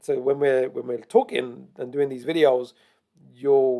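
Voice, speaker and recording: A plain, everyday voice from a man, medium in pitch, at a fairly quick pace. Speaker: crypto trading analyst. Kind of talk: tutorial.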